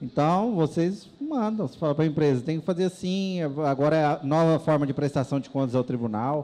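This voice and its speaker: With a dark, mellow tone and fairly high pitch, a man moves at a fairly quick pace with hardly any pauses and ordinary pitch variation. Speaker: audit court official giving a presentation; presenter. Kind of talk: lecture with Q&A. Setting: stage with audience. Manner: casual, hesitant with fillers. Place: hall. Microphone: handheld.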